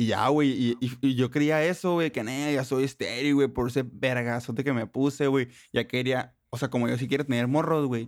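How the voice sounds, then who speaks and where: A man in a normal speaking voice, medium in pitch, at a moderate pace with hardly any pauses, fairly even intonation and very even loudness, on a very clean recording with a silent background. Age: 20s. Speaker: podcast co-host. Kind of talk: casual chat. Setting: home studio in bedroom.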